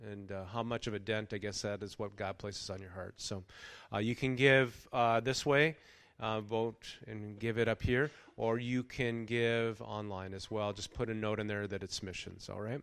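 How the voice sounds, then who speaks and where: Recorded very cleanly against a silent background, a man with fairly low pitch and fairly even intonation speaks at a moderate pace in a plain, everyday voice. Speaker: pastor. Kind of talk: sermon. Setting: church.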